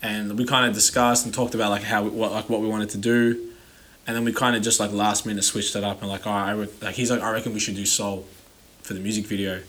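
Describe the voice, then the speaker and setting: Very fast and monotone, with flat intonation, a man speaks at a fairly low pitch with an American accent. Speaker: rapper. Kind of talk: casual chat.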